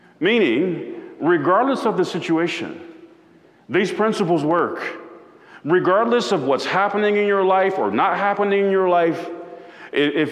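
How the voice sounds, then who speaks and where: Through audible room echo and noticeable background noise, a man with a high pitch talks at a fairly slow pace. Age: 40s. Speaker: pastor. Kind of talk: sermon.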